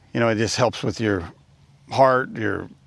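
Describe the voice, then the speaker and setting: At a moderate pace and medium pitch, a man speaks with ordinary pitch variation on a very clean recording with a silent background. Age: 60s. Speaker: fitness vlogger. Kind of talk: casual talk to camera. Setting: outdoors. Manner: conversational, with fillers.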